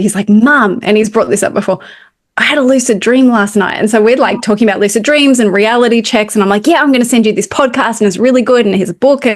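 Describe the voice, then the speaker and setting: A woman with an Australian accent, fairly high pitch, ordinary pitch variation and a very fast pace. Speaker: spiritual medium and podcast co-host. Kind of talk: casual chat.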